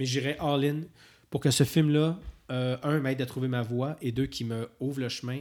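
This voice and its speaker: Recorded very cleanly over a silent background, a man with a Quebec accent speaks with fairly even intonation. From rural Quebec. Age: 40s. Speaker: film and TV director. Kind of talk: casual interview chat.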